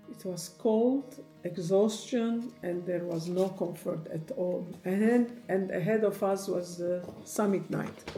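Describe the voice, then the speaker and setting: A woman speaks very slowly at a medium pitch with ordinary pitch variation. Music plays in the background, and room echo is audible. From Lebanon. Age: 60s. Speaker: hiker. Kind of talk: personal narration. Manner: halting.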